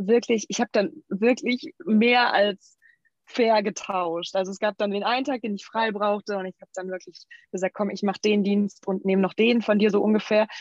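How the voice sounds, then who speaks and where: Recorded dry and close with no echo, a woman in a normal speaking voice talks at a moderate pace and a fairly high pitch, with ordinary pitch variation and big swings in loudness. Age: 30s. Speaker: model and nutrition coach. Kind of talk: interview.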